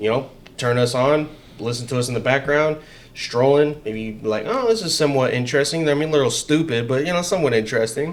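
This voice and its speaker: A man with a fairly high pitch talks at a very fast pace, with audible room echo and noticeable background noise. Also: ordinary pitch variation. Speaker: political podcast host. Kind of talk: casual chat. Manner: loud. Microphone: XLR mic, echo issues.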